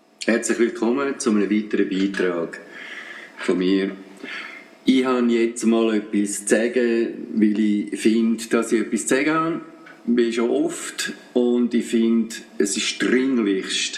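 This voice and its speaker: With a Swiss accent, a man talks at a very slow pace with long, frequent pauses. His medium pitch follows fairly even intonation over noticeable background noise. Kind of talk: radio commentary.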